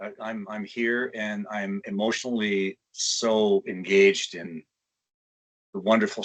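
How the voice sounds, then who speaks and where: With a Canadian accent, a man speaks in a fairly even intonation. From Canada, Toronto. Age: 60s. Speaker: kidney transplant recipient. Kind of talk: testimony.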